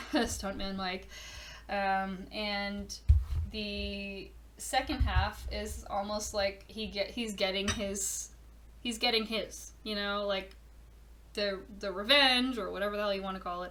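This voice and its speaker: A woman speaks very slowly. Audible room echo and noticeable background noise fill the recording. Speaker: podcast host, horror event organizer. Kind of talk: casual monologue.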